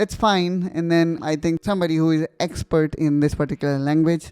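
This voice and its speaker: Speaking with an Indian accent, a man has a dark, mellow tone at a fairly high pitch, with ordinary pitch variation and a dry, close sound with no echo. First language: Hindi. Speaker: tech tutorial youtuber. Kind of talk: tutorial.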